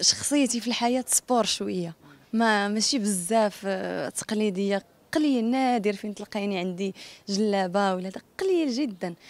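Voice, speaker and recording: A Casablanca accent at a moderate pace, with ordinary pitch variation and a dry sound with no echo. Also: woman. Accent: Moroccan Darija, Casablanca. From Morocco, Casablanca. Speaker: singer and actress; actress. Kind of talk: interview. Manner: casual, spontaneous. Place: street. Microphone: handheld.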